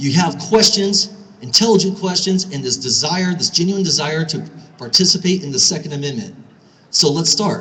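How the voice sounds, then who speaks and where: A man's high-pitched voice with an American accent and ordinary pitch variation, over noticeable background noise. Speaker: gun store owner and speaker. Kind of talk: speech at a rally. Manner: fast.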